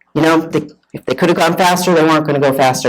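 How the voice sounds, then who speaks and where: A woman with a very deep, low voice and a Boston accent, at a very fast pace. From Massachusetts, north of Boston. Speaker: sailor and boat owner. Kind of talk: presentation talk.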